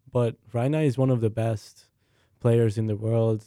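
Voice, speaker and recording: A man with a Hungarian accent speaks at a moderate pace and a medium pitch, his tone dark and mellow, his intonation monotone and flat. The recording is very clean, with a silent background. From Hungary, Budapest. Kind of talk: casual sports talk show. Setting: studio.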